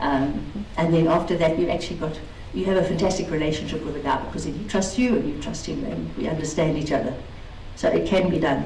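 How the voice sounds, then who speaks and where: A woman talks at a very fast pace with a very deep, low pitch and ordinary pitch variation. Room echo is audible, and there is noticeable background noise. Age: 50s. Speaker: racing driver and truck business woman. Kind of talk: conference talk.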